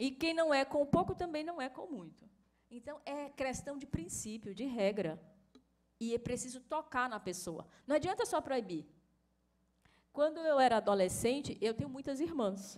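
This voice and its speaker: With a Bahian accent, a woman speaks at a high pitch, her voice making very wide pitch swings and big swings in loudness, broken by long, frequent pauses. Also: moderate pace. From Bahia, Brazil. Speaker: course instructor. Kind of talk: lecture.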